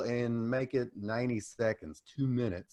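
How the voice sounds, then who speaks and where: At a moderate pace, a man with a Southern US accent speaks at medium pitch with ordinary pitch variation against a quiet background. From US South, Tennessee. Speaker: small business coach and explainer video maker. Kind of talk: podcast interview.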